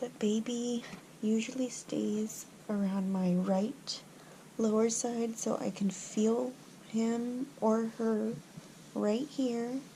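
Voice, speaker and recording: A woman is whispering. Her pace is very slow. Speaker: pregnancy vlogger. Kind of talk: casual vlog. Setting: at home at night. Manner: hesitant, filler words.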